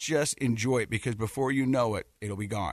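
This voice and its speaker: A man with an American accent and a plain, everyday voice, medium in pitch with fairly even intonation, at a fairly quick pace, dry and close with no echo. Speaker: podcast co-host and dad. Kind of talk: casual radio interview. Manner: jokey, friendly.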